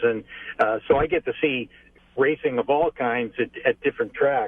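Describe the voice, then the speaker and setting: This man has a plain, everyday voice at a medium pitch. He talks at a moderate pace with fairly even intonation. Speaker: race track public address announcer. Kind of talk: interview answer by phone. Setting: phone line.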